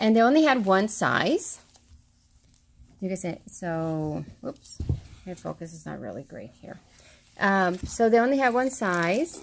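Speaking at a medium pitch with vocal fry, a woman makes big pitch swings and leaves long, frequent pauses. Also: fairly slow pace.

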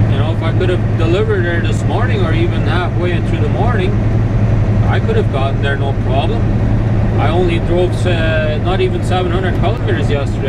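Here a man speaks at a moderate pace. Loud background noise fills the recording. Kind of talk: casual vlog chat. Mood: mildly frustrated about unloading. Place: car. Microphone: camera far.

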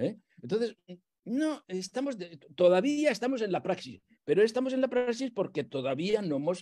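Fairly slow speech from a man with a dark, mellow tone and very wide pitch swings. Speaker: theologian and priest; priest. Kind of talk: lecture. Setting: video call. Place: home room. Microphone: earbuds.

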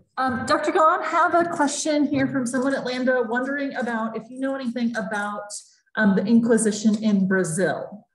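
A woman's high voice with lively intonation at a moderate pace, plus audible room echo. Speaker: library program moderator. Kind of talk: Q&A moderation. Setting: video call. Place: hall. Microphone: webcam.

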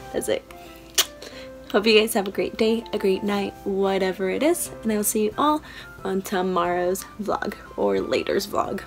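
Someone speaks at a moderate pace with long, frequent pauses while faint music plays in the background. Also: woman. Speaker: vlogger. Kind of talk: casual vlog chat. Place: home room. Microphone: phone near.

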